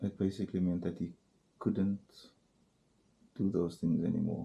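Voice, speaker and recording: A man's very deep, low, somewhat breathy voice in a dark, mellow tone, flat and monotone at a fairly slow pace. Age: 40s. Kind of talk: casual talk to camera. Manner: hesitant, rambling.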